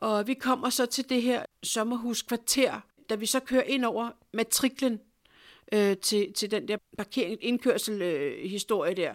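At a fairly slow pace, a woman speaks with a fairly high pitch and ordinary pitch variation, in a very clean recording with a silent background and a dry, close sound with no echo. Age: 50s. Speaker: clairvoyant healer. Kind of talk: personal storytelling interview. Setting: at her home. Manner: animated.

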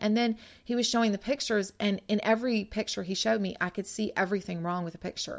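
A woman with an unremarkable speaking voice at a medium pitch and ordinary pitch variation, on a very clean recording with a silent background. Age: 40s. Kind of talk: devotional podcast monologue. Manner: conversational.

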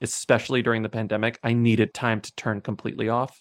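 Speaking very fast with an American accent, a man keeps a medium pitch and a monotone, flat intonation, recorded dry and close with no echo. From Texas, southwest of San Antonio. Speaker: novelist and podcast co-host. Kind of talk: casual interview. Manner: laughs often.

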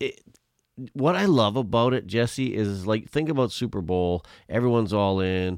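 Delivered at a moderate pace with lively intonation, this is an ordinary speaking voice. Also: man, fairly low pitch for a man. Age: 50s. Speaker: podcast host. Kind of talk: casual interview chat.

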